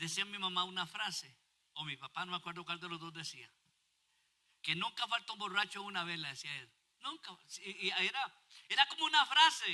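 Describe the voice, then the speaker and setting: A man with a high pitch and a bright, sharp tone uses a raised, projected voice, talking at a fairly quick pace with lively intonation, big swings in loudness and long, frequent pauses. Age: 60s. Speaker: pastor. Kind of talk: sermon.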